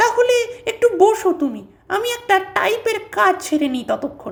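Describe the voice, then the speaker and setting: This put-on character voice reaches an extremely high pitch and keeps a moderate pace. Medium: read story. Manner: subdued, brooding.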